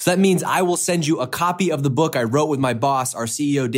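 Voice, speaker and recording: A man's energetic, very fast delivery in an American accent, with ordinary pitch variation, on a very clean recording with a silent background. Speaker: podcast host. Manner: energetic, promotional.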